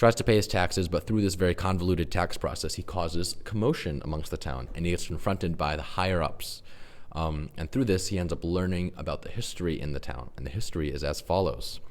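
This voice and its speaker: With a very deep, low pitch and vocal fry, a man speaks very fast. He leaves hardly any pauses and uses ordinary pitch variation. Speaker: composer and music director pitching a show. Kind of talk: pitch presentation. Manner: casual.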